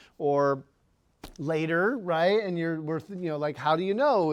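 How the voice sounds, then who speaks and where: A man speaks with a squeaky, high-pitched voice. He keeps a moderate pace against a quiet background. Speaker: physics teacher. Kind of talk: lecture. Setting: classroom. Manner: animated.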